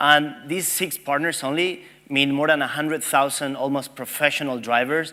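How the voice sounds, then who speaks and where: A man talks at a fairly quick pace. His fairly high voice has a bright, sharp tone. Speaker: tech company representative. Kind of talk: conference presentation. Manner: fast.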